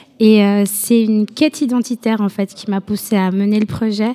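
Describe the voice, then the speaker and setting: A woman with a fairly high pitch and a dark, mellow tone speaks at a moderate pace in a monotone, flat intonation. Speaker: photographer and project founder. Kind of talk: radio interview.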